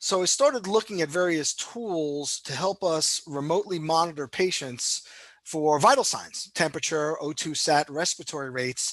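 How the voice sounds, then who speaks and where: With a New York accent, a man talks at a fairly high pitch with ordinary pitch variation in a quiet background. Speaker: cardiologist, health system leader. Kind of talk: interview. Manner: fast; many filler words (um, you know).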